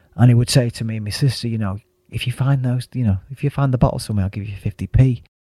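In a Mancunian accent, a man speaks at a very fast pace with medium pitch, a dark, mellow tone, fairly even intonation and a somewhat breathy quality, in a dry, close sound with no echo. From Manchester, northern England. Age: 50s. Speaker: yoga teacher and former club DJ. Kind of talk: casual interview chat.

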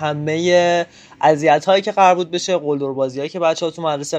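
A man talks at a very fast pace. His pitch is fairly high, and his intonation stays fairly even. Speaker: interviewee. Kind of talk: testimony.

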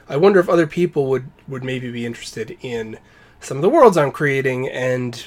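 A man at medium pitch with ordinary pitch variation, an ordinary speaking voice, and a moderate pace. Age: 30s. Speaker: game designer. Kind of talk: casual chat.

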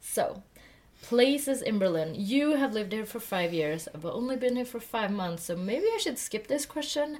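Pitch swings very widely while the speech holds a moderate pace. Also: woman, fairly high pitch for a woman. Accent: Swedish. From Sweden. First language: Swedish. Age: 20s. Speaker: podcast co-host. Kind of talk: casual chat. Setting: sitting in a loft bed.

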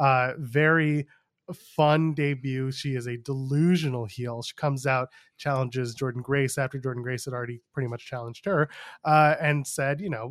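A man with a plain, everyday voice speaks at a moderate pace and medium pitch, his intonation fairly even, on a very clean recording with a silent background. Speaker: podcast host, wrestling commentator. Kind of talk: casual chat.

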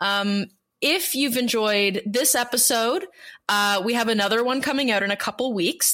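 With a fairly high pitch and a bright, sharp tone, a woman speaks with ordinary pitch variation in a very clean recording with a silent background. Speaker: podcast host. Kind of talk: casual podcast chat.

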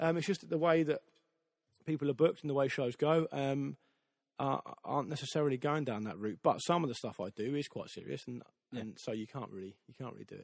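Talking at a very fast pace, a man with a fairly high pitch and ordinary pitch variation sounds dry and close with no echo on a very clean recording against a silent background. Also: big swings in loudness. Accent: English. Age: 30s. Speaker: football podcast host. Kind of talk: casual interview. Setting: studio.

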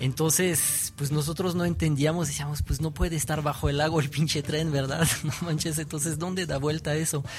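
Music plays behind a man speaking at a moderate pace with hardly any pauses. His pitch is fairly high and his intonation is monotone and flat. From France. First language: French (speaking Spanish). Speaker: graffiti artist. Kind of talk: interview. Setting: radio studio. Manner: halting.

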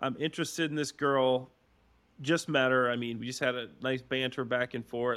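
A man with an unremarkable speaking voice at medium pitch and moderate pace, on a very clean recording with a silent background. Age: 30s. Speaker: podcast co-host and former NFL player. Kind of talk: casual chat.

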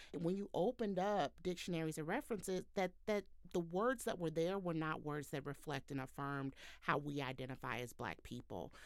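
A plain, everyday voice moves at a fairly quick pace. The intonation is lively. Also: woman, fairly low pitch for a woman. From Texas, Houston. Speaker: communications manager. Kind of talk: podcast interview.

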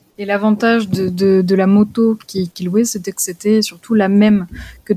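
Somewhat breathy, a woman talks at a moderate pace and a medium pitch, her intonation monotone and flat. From France, Lyon region. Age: 20s. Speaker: traveler and freelance photographer. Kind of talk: interview conversation. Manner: hesitant, many repeated words.

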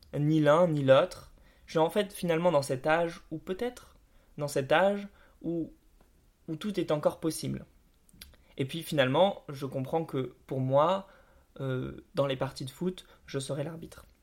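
Against a silent background on a very clean recording, a man speaks at a fairly slow pace with long, frequent pauses. His pitch is fairly high, with ordinary pitch variation. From France, Bordeaux suburbs. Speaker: podcast host. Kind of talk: scripted narration.

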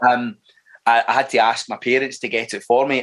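In a Glaswegian accent, a man talks. His pace is fairly quick. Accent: Glaswegian Scottish. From Scotland, Clydebank area near Glasgow. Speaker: actor. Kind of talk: casual interview chat. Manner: halting, with repeated words and fillers.

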